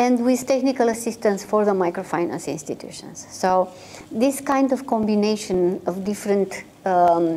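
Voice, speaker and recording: Over noticeable background noise, a woman of medium pitch speaks at a moderate pace with lively intonation. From Romania. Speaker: microfinance consultancy executive. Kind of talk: interview. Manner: halting, many fillers.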